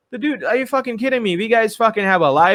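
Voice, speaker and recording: A man talks at a very fast pace in an American accent. His tone is animated, bright and sharp. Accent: Indian speaker with American-leaning. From India, West Bengal. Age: 30s. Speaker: podcast host, English teacher. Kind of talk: casual interview chat. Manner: animated, profane.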